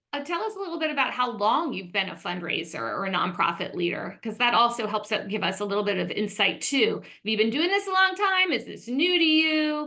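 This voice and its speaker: Over noticeable background noise, a woman speaks at a fairly quick pace and a high pitch with very wide pitch swings and hardly any pauses. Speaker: fundraising executive and coach. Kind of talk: webinar presentation. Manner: animated.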